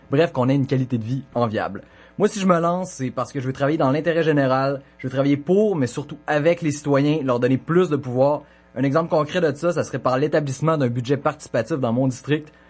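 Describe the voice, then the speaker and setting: A normal speaking voice at a fairly quick pace, with ordinary pitch variation. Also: man, fairly high pitch for a man. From Quebec, Côte-Nord (Sept-Îles). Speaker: municipal election candidate. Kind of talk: debate opening statement.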